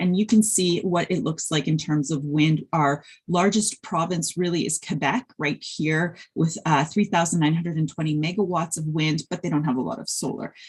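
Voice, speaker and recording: At a fairly quick pace, the voice comes across as somewhat breathy. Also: woman. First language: Polish. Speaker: wind energy researcher and industry professional. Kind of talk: conference presentation. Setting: webinar video call. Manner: hesitant with fillers.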